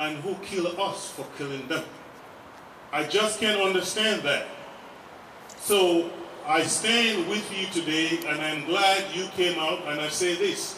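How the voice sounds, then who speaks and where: Speaking very slowly with long, frequent pauses, a man uses a high pitch and ordinary pitch variation while noticeable background noise plays behind him. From Africa. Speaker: activist speaker and rally emcee. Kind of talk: rally speech. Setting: stage with audience at a vigil rally. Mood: earnest, emotional, pleading. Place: street.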